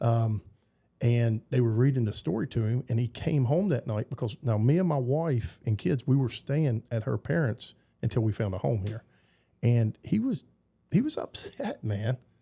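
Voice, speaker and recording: A man speaks in a Southern US accent at a moderate pace and medium pitch, with ordinary pitch variation. His tone is dark and mellow, somewhat breathy, on a very clean recording with a silent background. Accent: Southern twang. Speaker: basketball coach. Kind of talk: casual interview chat. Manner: halting, repeats words.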